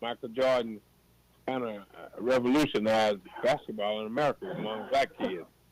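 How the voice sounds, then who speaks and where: Medium-pitched male voice at a fairly quick pace, with ordinary pitch variation, big swings in loudness and noticeable background noise. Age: 70s. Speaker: former college baseball player. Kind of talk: casual chat.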